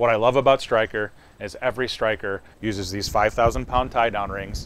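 A man at a moderate pace with fairly even intonation, in a dry sound with no echo. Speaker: presenter. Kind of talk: product walkthrough presentation. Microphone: lapel.

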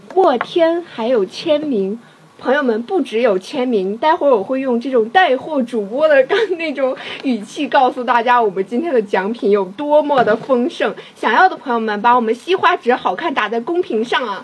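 With a high pitch and lively intonation, a woman speaks in an animated tone at a moderate pace. There is light background noise. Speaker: livestream host. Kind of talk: hosting a promotional live stream. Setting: live stream studio. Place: studio.

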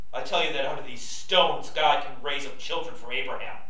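Speaking at a fairly quick pace, a man's voice comes with audible room echo. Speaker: pastor. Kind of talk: scripture reading. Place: church.

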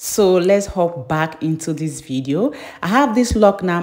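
Against a quiet background, a woman talks fairly slowly. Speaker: beauty vlogger. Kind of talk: tutorial. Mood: cheerful, smiling. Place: bathroom. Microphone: phone near.

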